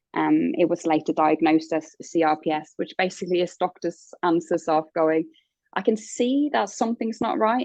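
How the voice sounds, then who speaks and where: A woman's dark, mellow tone with a slight Norwegian accent, lively intonation and a moderate pace. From Norway. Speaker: interviewee sharing life story. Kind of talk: interview. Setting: in hospital. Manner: hesitant, many fillers.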